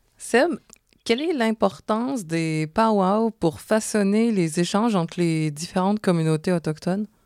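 A woman with a Quebec accent at a medium pitch, speaking at a fairly slow pace with lively intonation and very even loudness, in dry, close sound with no echo on a very clean recording over a silent background. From Quebec, Montreal. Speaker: podcast co-host. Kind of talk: travel podcast hosting, partly scripted.

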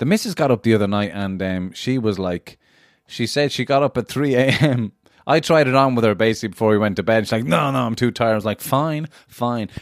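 Here a man speaks in an unremarkable speaking voice at medium pitch with lively intonation. The sound is dry and close, with no echo. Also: fairly quick pace. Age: 30s. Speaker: guest, comedian. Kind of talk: casual chat. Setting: video call.

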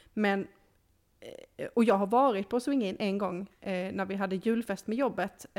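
A woman talks at a moderate pace and medium pitch with fairly even intonation, in a normal speaking voice. The recording is very clean, with a silent background. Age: 30s. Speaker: podcast co-host. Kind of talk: casual chat.

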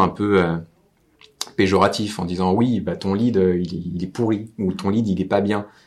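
A man with a Normandy accent, fairly low-pitched, at a fairly slow pace. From Normandy, France. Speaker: marketing agency owner and podcast host. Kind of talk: casual interview. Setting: on location at client's office.

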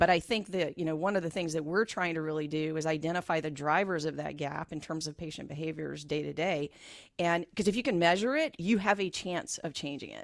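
In a very clean recording with a silent background, a woman talks in a plain, everyday voice, her pitch fairly low with ordinary variation and her loudness swinging widely. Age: 50s. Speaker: health tech company CEO. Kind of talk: radio interview. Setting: radio studio.

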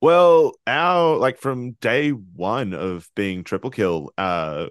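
A man with an Australian accent, very wide pitch swings, and a dry, close sound with no echo over a quiet background. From Queensland, Australia. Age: 20s. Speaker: metal band musician. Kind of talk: casual interview.

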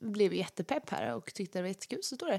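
A woman speaks with lively intonation. Vocal fry runs through her voice. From Småland, Sweden. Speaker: singer and podcast co-host. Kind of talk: casual chat. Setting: at a friend's home.

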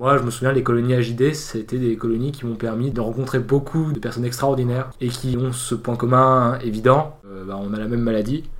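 Fairly quick, monotone and flat delivery from a man at medium pitch, with audible room echo. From southern France. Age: 20s. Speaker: university student. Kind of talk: interview.

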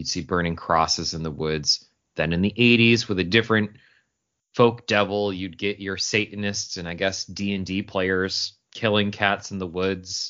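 This man has a plain, everyday voice with an American accent, pitched fairly low. He speaks at a moderate pace with fairly even intonation. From Upstate New York (Syracuse). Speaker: podcast co-host. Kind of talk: paranormal podcast conversation with scripted segments.

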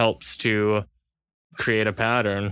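A man's fairly low voice in an American accent at a very slow pace, dry and close with no echo, in a very clean recording with a silent background. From California. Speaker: university student. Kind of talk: casual interview.

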